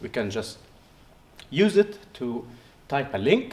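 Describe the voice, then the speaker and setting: Speaking at a moderate pace with an Arabic accent, a man uses a medium pitch with very wide pitch swings. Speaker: researcher. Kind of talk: poster presentation interview. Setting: conference poster session. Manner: halting, many fillers and restarts.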